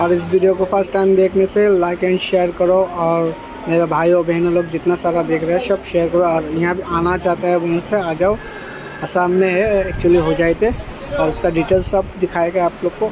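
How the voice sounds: At a moderate pace, a man speaks in a high pitch with little pitch movement against clear background noise.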